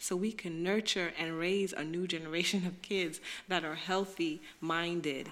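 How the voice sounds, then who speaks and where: A woman's plain, everyday voice with an American accent, medium in pitch, at a fairly slow pace. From Brooklyn, New York. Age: 30s. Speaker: author and poet. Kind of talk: casual chat.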